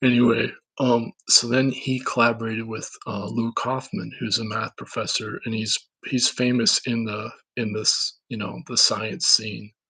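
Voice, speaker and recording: A man with a Minnesotan accent speaks fairly slowly at medium pitch, his bright, sharp tone carrying ordinary pitch variation. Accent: Minnesota. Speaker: independent researcher / vlogger. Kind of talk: casual monologue. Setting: camera recording. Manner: halting, many fillers and restarts.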